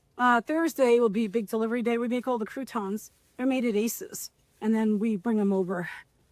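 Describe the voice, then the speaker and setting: A woman's fairly high voice with a New York accent, fairly quick pace and ordinary pitch variation, on a very clean recording with a silent background. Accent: New York (Bronx). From New York City, the Bronx. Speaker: restaurant owner. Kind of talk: casual chat, kitchen tour. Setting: restaurant kitchen. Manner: loud.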